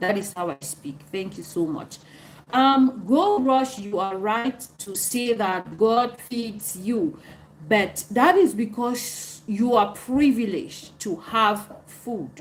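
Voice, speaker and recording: At a very slow pace, a woman speaks with a fairly high pitch, a somewhat breathy sound, lively intonation and big swings in loudness. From Cameroon. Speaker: live streamer answering viewer comments. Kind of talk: live stream chat reading comments.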